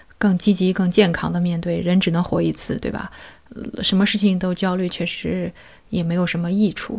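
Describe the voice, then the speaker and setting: This woman's fairly low voice is somewhat breathy and delivered in a flat monotone. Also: moderate pace. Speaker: podcast host. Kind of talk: interview.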